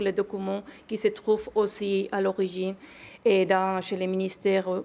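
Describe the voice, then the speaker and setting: This woman has a Spanish accent and a medium pitch. She talks at a fairly slow pace. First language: Spanish (speaking French). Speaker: archivist, association president. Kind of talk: panel talk. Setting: conference in the Senate. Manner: halting, many fillers.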